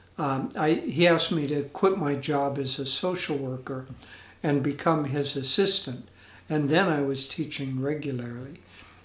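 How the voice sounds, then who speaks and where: A man with an American accent has a fairly high pitch and a somewhat breathy voice. He talks at a moderate pace with fairly even intonation. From US Midwest (northern Iowa, southern Minnesota). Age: 70s. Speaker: spiritual community leader. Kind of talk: interview.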